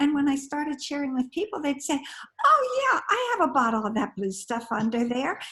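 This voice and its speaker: A woman's raised, projected voice, high in pitch and bright and sharp in tone, with lively intonation at a fairly quick pace. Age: 80s+. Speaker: direct sales distributor. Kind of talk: group video call chat.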